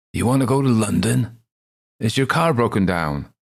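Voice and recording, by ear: A man's croaky, put-on character voice at medium pitch, moderate pace and lively intonation, on a very clean recording with a silent background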